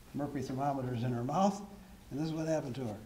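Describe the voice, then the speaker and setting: Audible room echo and noticeable background noise around a man's voice with ordinary pitch variation. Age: 70s. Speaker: member of the public giving testimony. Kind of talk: public testimony at a town hall meeting. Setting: town hall meeting. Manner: hesitant, with frequent fillers.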